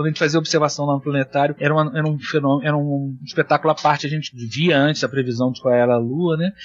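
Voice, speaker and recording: The delivery comes at a very fast pace with hardly any pauses. The intonation is monotone and flat. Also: man, fairly high pitch for a man. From Rio de Janeiro, Brazil. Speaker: planetarium astronomer. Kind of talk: casual chat.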